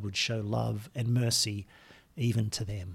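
A man talks in a warm, somewhat breathy tone. The recording is very clean, with a silent background. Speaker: podcast host. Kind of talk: reading aloud prayers, casual intro. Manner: measured, reverent, slow in prayers; conversational, warm.

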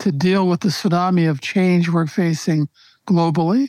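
A woman talks at a fairly slow pace in a plain, everyday voice with fairly low pitch. The recording is very clean with a silent background and a dry, close sound with no echo. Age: 60s. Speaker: leadership coach. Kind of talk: interview.

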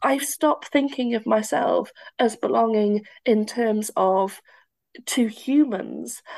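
A woman with a Welsh accent talks at a very slow pace, her fairly high pitch moving with ordinary variation. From Wales. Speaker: occupational therapist and university lecturer. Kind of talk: casual conversational interview.

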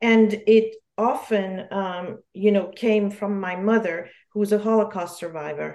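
Fairly slow, fairly even intonation, a dark, mellow tone and a French accent. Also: woman, medium pitch for a woman. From Geneva, Switzerland. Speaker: memoirist author. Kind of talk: casual interview.

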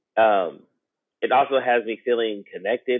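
Here is a man with an American accent. His pitch is medium. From South Seattle. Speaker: rapper. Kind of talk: reflective conversation. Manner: halting.

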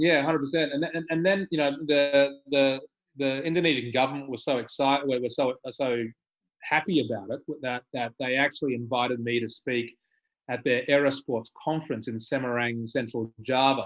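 With an Australian accent, a man talks at medium pitch and a moderate pace with fairly even intonation. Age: 50s. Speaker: skydiving entrepreneur. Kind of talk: casual interview.

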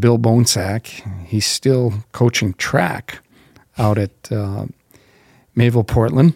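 In an Upper Midwest accent, a man at a medium pitch speaks with a dark, mellow tone and ordinary pitch variation, the sound dry and close with no echo. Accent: Upper Midwest American. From North Dakota, small town. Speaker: college football head coach. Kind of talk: casual interview.

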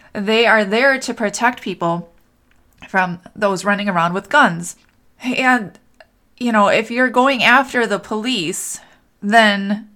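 On a very clean recording with a silent background, a woman with an American accent speaks fairly slowly at a medium pitch, in a bright, sharp tone with fairly even intonation. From Minnesota, US Midwest. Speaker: podcast host and life coach. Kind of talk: unscripted solo monologue.

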